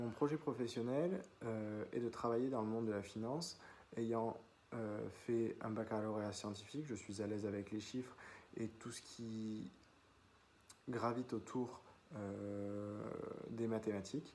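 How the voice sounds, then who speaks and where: A man talks at a medium pitch with ordinary pitch variation. His pace is fairly slow, with long, frequent pauses. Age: 20s. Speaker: business student. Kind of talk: self-presentation video. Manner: hesitant, many fillers.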